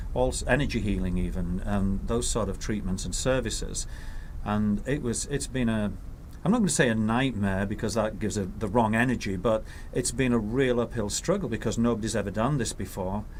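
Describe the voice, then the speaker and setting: A man at a fairly quick pace, with ordinary pitch variation and audible room echo. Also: medium pitch for a man. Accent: English. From northern England. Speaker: healthcare company CEO. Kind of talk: interview.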